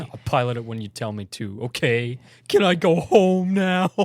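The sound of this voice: Using a put-on character voice, a man sounds whiny at a medium pitch and moderate pace, with very wide pitch swings and big swings in loudness.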